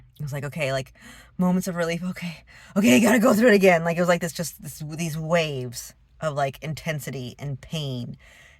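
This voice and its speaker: This woman's voice is somewhat breathy, with ordinary pitch variation at a moderate pace. The recording is very clean, with a silent background. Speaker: vlogger. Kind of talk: casual vlog monologue. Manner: halting.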